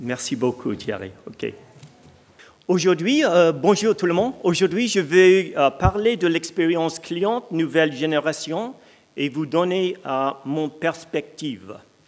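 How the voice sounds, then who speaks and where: A man with an English accent at a very slow pace, high in pitch, with lively intonation. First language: English (speaking French). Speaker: company executive. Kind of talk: onstage interview; conference keynote.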